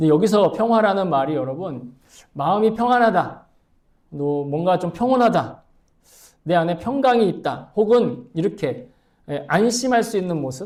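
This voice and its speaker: A man with a high pitch speaks at a moderate pace, in an animated tone with lively intonation. Long, frequent pauses break up his speech, and audible room echo fills the space. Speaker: pastor. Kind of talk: sermon.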